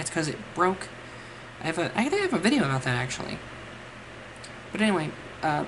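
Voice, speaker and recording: A woman talks at a very fast pace with fairly low pitch. Noticeable background noise runs underneath. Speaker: mental health vlogger. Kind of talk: casual talk to camera. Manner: stumbles over words at times.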